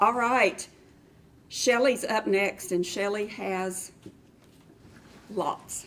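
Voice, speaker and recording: A woman with a strong West Texas accent and a medium pitch talks at a very slow pace with fairly even intonation and long, frequent pauses. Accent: thick West Texas. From West Texas (South Plains, near Lubbock). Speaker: cross stitch shop staff. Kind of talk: casual chat.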